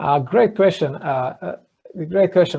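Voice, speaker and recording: A man with an Eastern European accent talks at a moderate pace with lively intonation. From Slovakia. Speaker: entrepreneur. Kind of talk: podcast interview.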